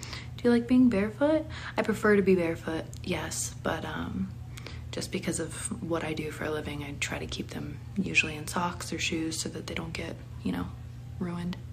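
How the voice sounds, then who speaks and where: Over noticeable background noise, a woman with an American accent speaks at a moderate pace, her loudness swinging widely. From Pennsylvania. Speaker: online content creator. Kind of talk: live stream reading viewer questions. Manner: casual, giggly. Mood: relaxed, friendly. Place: home room. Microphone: phone near.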